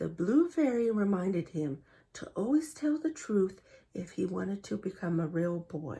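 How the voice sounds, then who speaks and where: The voice moves through very wide pitch swings. Its tone is dark and mellow, and somewhat breathy. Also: woman, medium pitch for a woman, moderate pace. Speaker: storybook reader for kids. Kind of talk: children's storybook read-aloud. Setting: reading aloud from a printed book, showing pictures. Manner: friendly, engaging, addressing children.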